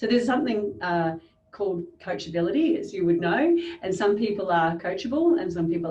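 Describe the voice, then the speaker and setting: With an Australian accent, a woman talks at a fairly quick pace in a somewhat breathy, medium-pitched voice that makes very wide pitch swings. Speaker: business coach. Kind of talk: interview. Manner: fast.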